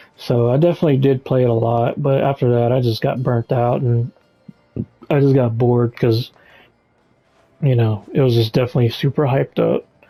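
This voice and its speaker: With music in the background, a man at a medium pitch talks at a fairly quick pace with long, frequent pauses, fairly even intonation and very even loudness, in a dry, close sound with no echo. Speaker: gamer vlogger. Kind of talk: casual monologue while gaming. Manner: halting, distracted.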